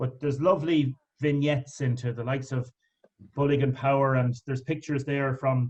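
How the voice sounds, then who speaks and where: A man with an Irish accent, somewhat breathy, at a fairly quick pace with monotone, flat intonation. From Ireland, County Wicklow. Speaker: interviewer. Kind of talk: interview. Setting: online video event.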